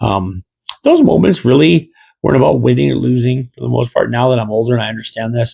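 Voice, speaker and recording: A man with a Midwestern American accent talks at a very fast pace. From US Midwest. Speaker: gaming podcast host. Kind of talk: casual monologue. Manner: rambling with many fillers.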